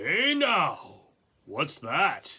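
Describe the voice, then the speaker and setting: A raspy, put-on character voice from a man. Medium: read story. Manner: gruff, bullying.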